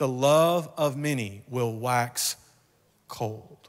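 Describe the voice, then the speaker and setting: A man with a Kentucky accent, ordinary pitch variation and a quiet background. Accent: Kentucky Southern US. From rural Kentucky. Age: 40s. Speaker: guest preacher. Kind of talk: sermon. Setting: church.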